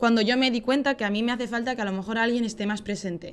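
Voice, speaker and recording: On a very clean recording with a silent background, a woman with a Spanish accent speaks in a fairly high voice with fairly even intonation. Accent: Spanish (Spain). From Spain, Valencia. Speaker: podcast guest. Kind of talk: casual chat.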